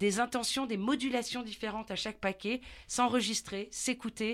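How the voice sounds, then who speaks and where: A woman with an unremarkable speaking voice talks at a moderate pace in a fairly high pitch, with ordinary pitch variation, on a very clean recording with a silent background. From southern France. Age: middle-aged. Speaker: voice coach and actress. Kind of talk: interview. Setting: studio.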